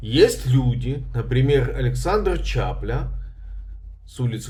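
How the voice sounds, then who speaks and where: In a room with audible echo, a man talks at a very slow pace. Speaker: journalist and video blogger. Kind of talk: legal explainer vlog. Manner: conversational with hesitations.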